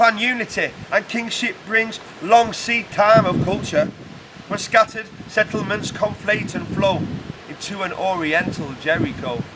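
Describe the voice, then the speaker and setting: Amid noticeable background noise, a man with a high pitch speaks at a fairly slow pace with ordinary pitch variation. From United Kingdom. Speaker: poet. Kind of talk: poetry reading.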